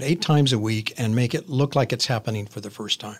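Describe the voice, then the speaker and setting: A man with an American accent talks at a fairly quick pace with lively intonation in a plain, everyday voice, on a very clean recording with a silent background. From Arizona, US. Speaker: actor. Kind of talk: interview.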